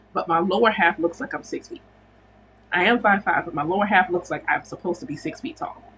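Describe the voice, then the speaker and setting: A woman's bright, sharp voice at a very fast pace, with very wide pitch swings. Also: medium pitch for a woman. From United States. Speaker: spiritual teacher and livestream host. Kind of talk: casual livestream chat. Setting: livestream.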